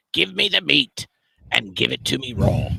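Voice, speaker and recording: A man puts on a character voice that is raspy and fairly low in pitch. He keeps a moderate pace. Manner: rough, demanding.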